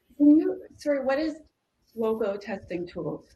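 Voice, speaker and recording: A woman with a Canadian accent speaks at a moderate pace, her intonation lively. Her tone is dark and mellow, and somewhat breathy. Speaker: security specialist panelist. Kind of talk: panel discussion.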